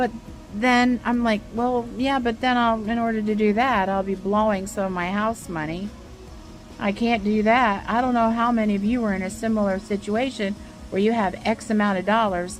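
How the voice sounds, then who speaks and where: Over music in the background, a woman speaks at a moderate pace with a fairly high pitch and fairly even intonation. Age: 60s. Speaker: vlogger and artist. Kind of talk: casual vlog update. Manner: hesitant, filler-heavy.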